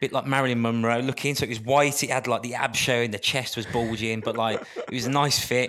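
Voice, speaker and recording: In a Birmingham accent, a man talks at a very fast pace with hardly any pauses, his medium-pitched voice flat and monotone. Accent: Birmingham (Brummie). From Birmingham, England. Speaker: dancer and dietitian, former athlete. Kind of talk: casual interview chat.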